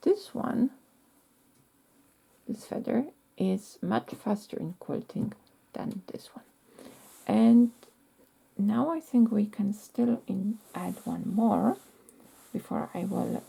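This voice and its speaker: Someone with a non-native accent talks at a very slow pace. Long pauses come often. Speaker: quilting teacher. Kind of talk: tutorial. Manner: halting.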